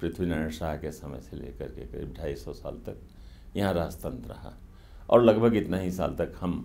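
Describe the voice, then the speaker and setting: A man with a very deep, low voice, a dark, mellow tone and vocal fry talks at a moderate pace with lively intonation and big swings in loudness. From northern India. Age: 70s. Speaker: journalist and author; journalist. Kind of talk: interview. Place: studio. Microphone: lapel.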